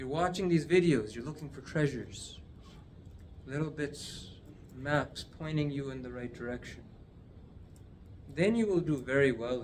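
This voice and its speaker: Amid light background noise, a man speaks at a moderate pace and a fairly high pitch with ordinary pitch variation, big swings in loudness, and long, frequent pauses. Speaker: addiction recovery teacher; teacher of a healing course. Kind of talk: video lesson. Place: office. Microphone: phone near.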